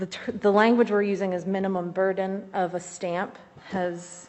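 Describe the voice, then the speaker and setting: With a Midwestern American accent, a woman speaks at a moderate pace and medium pitch with fairly even intonation. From Ohio, Zanesville. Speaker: community organizer and state rep candidate. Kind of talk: legislative testimony. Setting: committee hearing room, wearing a mask. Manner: formal.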